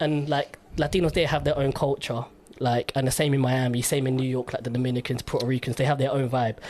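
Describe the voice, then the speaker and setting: Over noticeable background noise, a man talks very fast at a medium pitch, his intonation monotone and flat and his loudness very even. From London, England. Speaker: radio host. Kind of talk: casual interview chat.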